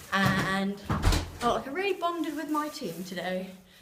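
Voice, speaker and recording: A woman talks fairly slowly while noticeable noise runs in the background. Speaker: vlogger. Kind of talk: casual vlog talk. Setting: outdoors.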